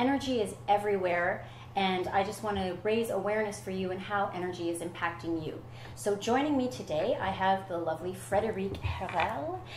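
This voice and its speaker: A woman speaks at a fairly quick pace with lively intonation. Audible room echo and noticeable background noise surround her voice. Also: medium pitch for a woman. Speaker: talk show host. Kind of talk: talk show interview. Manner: fast; animated.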